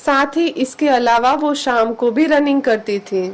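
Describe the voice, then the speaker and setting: A woman talks in a high pitch, her pitch varying in an ordinary way. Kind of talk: news narration.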